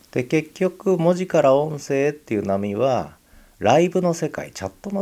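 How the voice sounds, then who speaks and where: With lively intonation and a dark, mellow tone, a man speaks at a moderate pace and a fairly high pitch. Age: 60s. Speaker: podcaster. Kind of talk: solo podcast monologue. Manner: casual, filler-heavy.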